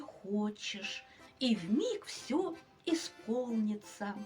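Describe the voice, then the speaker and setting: A woman's put-on character voice at a very slow pace. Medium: read story.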